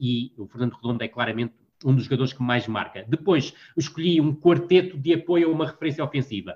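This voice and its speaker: A somewhat breathy voice at a very fast pace with ordinary pitch variation. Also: man, fairly high pitch for a man. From northern Portugal, Vila do Conde. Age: 40s. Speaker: football analyst and columnist. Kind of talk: casual interview. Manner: halting, frequent word repetitions.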